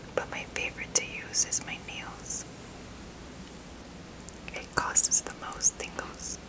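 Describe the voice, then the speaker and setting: A woman whispers very slowly, with long, frequent pauses throughout. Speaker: ASMR creator. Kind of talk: ASMR whispered narration. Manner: whispered. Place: home room.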